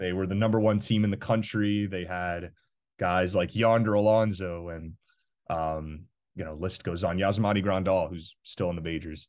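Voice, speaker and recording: Over a quiet background, a man with an American accent and a very deep, low pitch speaks at a moderate pace. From Miami, Florida. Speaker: college student play-by-play broadcaster. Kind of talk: casual sports chat. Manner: energetic; halting with frequent fillers.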